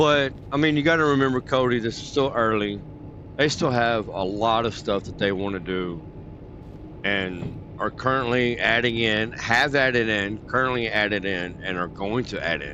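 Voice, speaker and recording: There is audible room echo as a man with an American accent talks at a moderate pace, using a medium pitch with ordinary variation. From Texas. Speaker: gaming streamer. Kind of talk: casual chat. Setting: livestream. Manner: casual.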